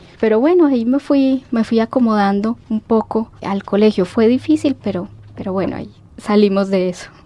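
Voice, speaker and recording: A woman talks at a moderate pace in a fairly high pitch with ordinary pitch variation. Noticeable background noise runs underneath. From Mexico City, Mexico until 12, then Colombia (Pereira, Manizales). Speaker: historian, university alumna. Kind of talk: radio interview.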